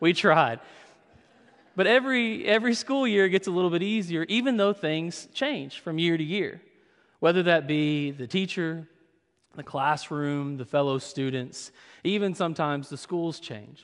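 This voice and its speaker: A man with an American accent speaks at a high pitch. His intonation is lively. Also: moderate pace. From Kentucky (Madisonville), US South. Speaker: pastor. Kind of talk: sermon. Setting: church.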